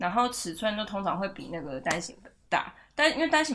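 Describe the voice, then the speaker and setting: Using a medium pitch, a woman talks at a fairly quick pace with very wide pitch swings. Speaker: podcast host. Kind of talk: casual chat. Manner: frequent laughter and fillers.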